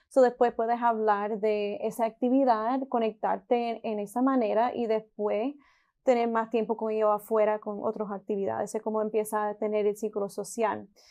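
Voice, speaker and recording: Against a quiet background, a woman with a dark, mellow tone and fairly high pitch speaks at a moderate pace in a monotone, flat intonation. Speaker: podcast host. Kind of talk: podcast interview host.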